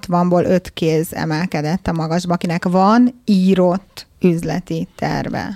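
The speech comes at a very slow pace with fairly even intonation, in a dry, close sound with no echo. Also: woman. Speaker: business founder. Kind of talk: panel discussion.

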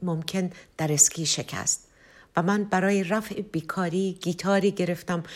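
In an ordinary speaking voice, a woman at medium pitch talks at a fairly slow pace in a very clean recording with a silent background. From Tehran, Iran. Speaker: singer-songwriter. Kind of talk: autobiographical narration.

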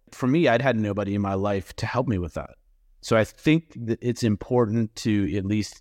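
In an American accent, a man with an ordinary speaking voice talks at a moderate pace and a fairly low pitch, the sound dry and close with no echo and a quiet background. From Massachusetts. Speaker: real estate business owner. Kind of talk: panel interview.

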